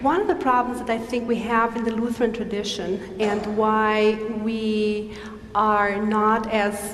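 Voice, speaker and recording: Noticeable background noise behind a fairly high-pitched woman's voice. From Brazil. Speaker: theology professor. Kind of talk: lecture Q&A.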